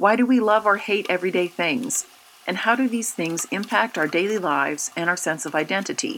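A plain, everyday voice from a woman at medium pitch, fairly quick, with lively intonation. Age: 40s. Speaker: communication studies professor. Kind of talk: scripted narration. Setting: in her kitchen.

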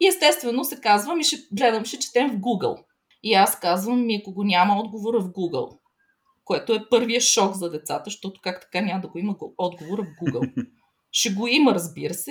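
Fairly high, somewhat breathy speech from a woman, with lively intonation at a fairly quick pace. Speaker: educator. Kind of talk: interview.

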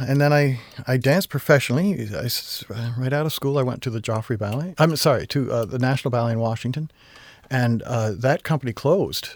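A normal speaking voice from a man with an American accent, fairly quick in pace with ordinary pitch variation, in a very clean recording with a silent background. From Vermont, US. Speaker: ballet company artistic director. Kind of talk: interview.

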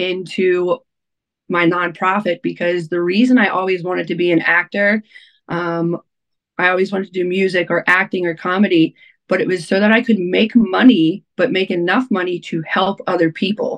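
A woman with an American accent and a plain, everyday voice, fairly even intonation at a moderate pace, in a dry, close sound with no echo. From Baltimore area, Maryland (Essex). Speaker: radio DJ and nonprofit founder. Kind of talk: casual interview chat.

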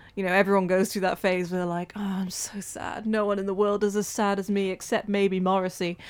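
A woman's medium-pitched voice with a Welsh accent at a very fast pace, on a very clean recording with a silent background. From Wales. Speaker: community radio volunteer presenter. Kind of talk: casual interview chat.

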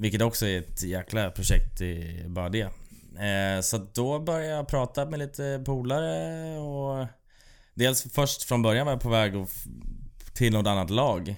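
On a very clean recording with a silent background, a man with an unremarkable speaking voice talks at a medium pitch and a fairly slow pace, his intonation lively. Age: 30s. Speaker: bike courier and racing cyclist. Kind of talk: casual chat. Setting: studio.

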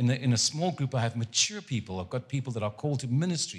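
Very fast and somewhat breathy, a man talks at a medium pitch with lively intonation on a very clean recording with a silent background. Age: 70s. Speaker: guest preacher. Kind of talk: sermon. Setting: church service with congregation. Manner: animated.

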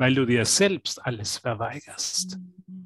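A man speaks at a fairly slow pace with lively intonation. The sound is dry and close, with no echo. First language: German. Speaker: interpreter. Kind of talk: live consecutive interpretation.

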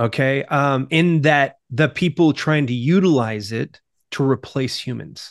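An ordinary speaking voice with ordinary pitch variation. The background is quiet. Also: man, fairly high pitch for a man, fairly slow pace. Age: 40s. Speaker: marketing agency president and author. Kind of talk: podcast interview.

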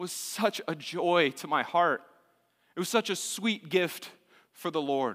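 In a raised, projected voice, a man with an American accent speaks very slowly in a bright, sharp tone. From Texas, Austin. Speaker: university student minister. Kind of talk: sermon. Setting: church.

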